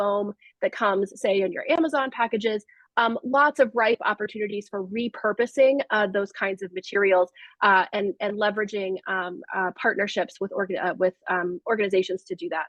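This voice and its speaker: Medium-pitched speech from a woman, with ordinary pitch variation. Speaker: city government project presenter. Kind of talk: presentation at a community meeting. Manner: fast; many fillers, um and uh.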